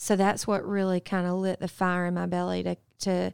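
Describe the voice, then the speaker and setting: A woman's medium-pitched voice with a Southern US accent, on a very clean recording with a silent background. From US South, upstate South Carolina. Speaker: public health researcher. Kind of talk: interview.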